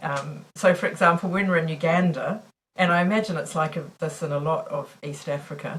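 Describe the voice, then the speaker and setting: A woman with a New Zealand accent speaks at a very fast pace. Her voice is fairly low and somewhat breathy. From New Zealand, Auckland. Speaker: missiologist and mission worker. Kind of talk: podcast interview. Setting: recording studio.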